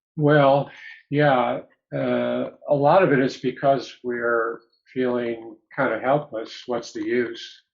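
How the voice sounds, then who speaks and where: A man speaks very slowly in a medium-pitched voice with fairly even intonation. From upstate New York. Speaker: psychologist. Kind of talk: interview.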